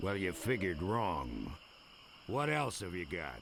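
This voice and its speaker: Over clear background noise, a man in a put-on character voice speaks raspy and very deep and low at a fairly slow pace, with very wide pitch swings. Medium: video game. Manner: earnest, naive.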